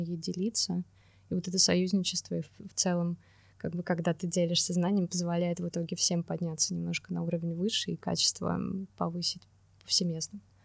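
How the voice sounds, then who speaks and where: A woman speaks fairly quickly in a somewhat breathy voice. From Russia, Saint Petersburg. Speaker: environmental designer and urban planner. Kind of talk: casual interview.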